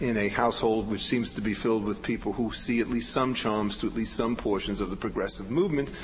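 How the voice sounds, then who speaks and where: The speaker is a man. Behind him there is noticeable noise. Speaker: legal historian. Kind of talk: academic conference talk.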